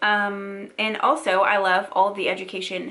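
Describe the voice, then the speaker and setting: The woman's tone is bright and sharp. She speaks at a medium pitch. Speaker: beauty and wellness youtuber. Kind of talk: product unboxing review. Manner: fast; animated.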